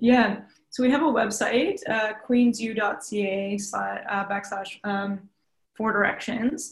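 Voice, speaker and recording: Somewhat breathy, a woman speaks at a very slow pace in a fairly high pitch with fairly even intonation. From Ontario, Mohawk territory (Tyendinaga). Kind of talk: interview. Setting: virtual studio, remote.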